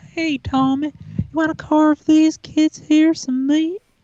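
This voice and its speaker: A woman's squeaky, high-pitched put-on character voice, fairly slow and flat in a monotone. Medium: stage play. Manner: folksy drawl.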